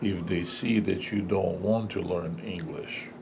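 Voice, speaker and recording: The voice is somewhat breathy, with a dark, mellow tone and a very slow pace. Room echo is audible. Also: man. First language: not English. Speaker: English teacher. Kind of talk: tutorial. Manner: clear.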